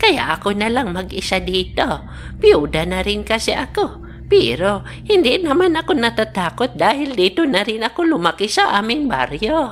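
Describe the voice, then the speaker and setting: Over clear background noise, a woman uses a cartoonish character voice at a fairly high pitch and fairly slow pace. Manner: gentle, old-fashioned, formal.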